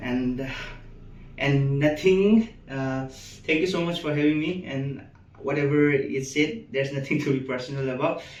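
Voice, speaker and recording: In a room with audible echo, a man with a fairly high pitch talks at a moderate pace, using ordinary pitch variation and long, frequent pauses. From Manipur, Northeast India. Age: 20s. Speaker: medical student. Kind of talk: interview. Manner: halting.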